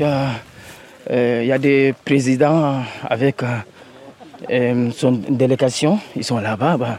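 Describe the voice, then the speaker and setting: A man talks against noticeable background noise. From Mali. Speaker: migrant volunteer. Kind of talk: field interview.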